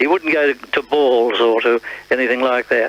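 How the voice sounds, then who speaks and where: A man speaks at a fairly slow pace with an Australian accent and a medium pitch. Noticeable background noise runs under his voice. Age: 70s. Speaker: retired radio announcer. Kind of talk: interview reminiscence. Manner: halting.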